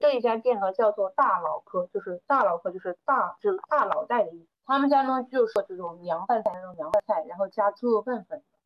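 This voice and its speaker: At a moderate pace, a woman with a fairly high pitch speaks in an ordinary speaking voice. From Hunan, Changde area. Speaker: event planner. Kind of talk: casual chat.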